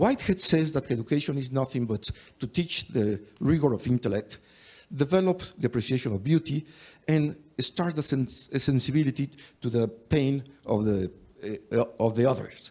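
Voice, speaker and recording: A man talks at a moderate pace with a Mexican accent, his pitch in the medium range. His voice is somewhat breathy, and his intonation is lively. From Mexico. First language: Spanish. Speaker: higher education expert, panelist. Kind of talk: panel discussion. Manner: halting.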